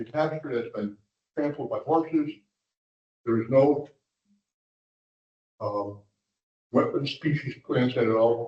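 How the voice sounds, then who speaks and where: A man talks at a very slow pace with a fairly high pitch, ordinary pitch variation and long, frequent pauses. His voice is somewhat breathy, with big swings in loudness. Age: 80s+. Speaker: industrial developer speaking at public meeting. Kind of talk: public comment at municipal meeting. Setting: commission meeting room. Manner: halting.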